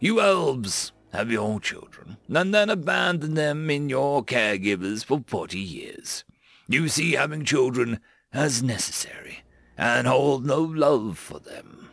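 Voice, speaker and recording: A man speaks at a fairly slow pace in a put-on character voice. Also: fairly high pitch for a man, very clean recording, silent background. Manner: stern, lecturing, growing fierce.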